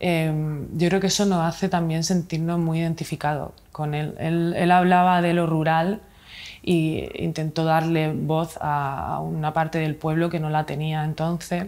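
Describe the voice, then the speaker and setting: A woman's fairly low voice, at a fairly slow pace with monotone, flat intonation. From Spain, Murcia region (Mula); Murcia, Spain. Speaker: illustrator and author; interviewee. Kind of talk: interview. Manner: halting, many fillers. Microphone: lapel.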